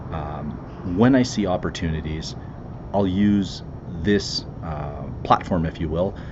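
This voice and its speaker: Soft-spoken and very slow, a man with a very deep, low pitch and ordinary pitch variation speaks amid audible room echo. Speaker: commercial real estate investor. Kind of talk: casual podcast monologue. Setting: outdoors by the water. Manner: hesitant, many fillers.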